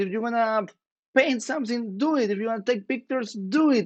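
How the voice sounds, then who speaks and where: A man's high-pitched voice in an energetic tone, with ordinary pitch variation at a moderate pace. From northern Chile. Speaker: startup founder. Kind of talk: podcast interview.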